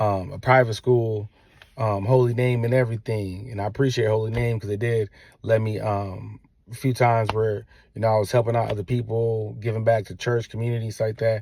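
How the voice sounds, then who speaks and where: A man talks at a fairly quick pace in a somewhat breathy voice, dark and mellow in tone. His intonation is monotone and flat, and the recording is very clean with a silent background. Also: medium pitch for a man. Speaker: father vlogger, military veteran. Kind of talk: casual monologue to viewers. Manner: halting.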